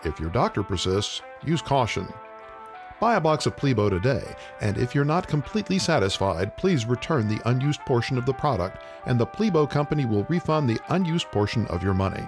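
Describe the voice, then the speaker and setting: Over music in the background, a man of medium pitch talks at a fairly quick pace, his pitch swinging very widely while his loudness stays very even. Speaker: voice actor. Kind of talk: radio commercial read.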